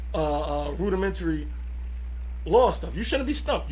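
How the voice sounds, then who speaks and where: A man talks fairly quickly, his voice carrying audible room echo. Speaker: radio co-host. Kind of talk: casual chat. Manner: halting.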